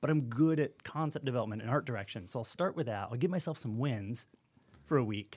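Lively intonation marks this man's medium-pitched voice, in a US Midwestern accent. He talks at a very fast pace. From Michigan, US Midwest. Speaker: design professor and game developer. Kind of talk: casual podcast interview.

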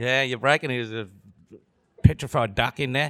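A man with an Australian accent, recorded dry and close with no echo. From Vietnam. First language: Vietnamese. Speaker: comedian. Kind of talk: live panel discussion. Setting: stage with audience. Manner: joking.

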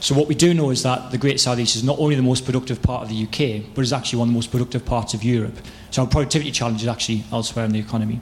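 Over noticeable background noise, a man at medium pitch talks at a very fast pace with hardly any pauses. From northeast England. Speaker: audience member, policy researcher.

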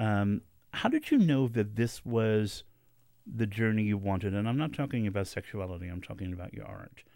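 On a very clean recording with a silent background, a normal speaking voice moves at a fairly quick pace with ordinary pitch variation. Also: man. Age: 50s. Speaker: radio host. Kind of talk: radio interview. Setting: studio.

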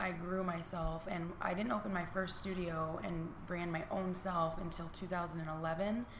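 In a room with audible echo and noticeable background noise, a woman with an American accent speaks very slowly in a fairly low, monotone voice with flat intonation. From US Midwest (Niles, Michigan). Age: 30s. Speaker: fitness instructor and business owner. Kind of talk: casual interview.

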